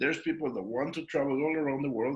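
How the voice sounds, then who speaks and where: A man talks at a very fast pace. He has a Mexican accent. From Mexico. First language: Spanish. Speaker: network marketing distributor. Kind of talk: panel discussion at business event.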